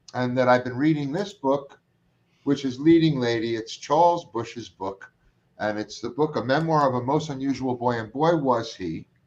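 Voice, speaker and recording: With a Brooklyn accent, a man speaks with ordinary pitch variation. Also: medium pitch for a man, moderate pace. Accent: New York (Brooklyn). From New York, Brooklyn. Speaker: talk show host. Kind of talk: casual chat. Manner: animated.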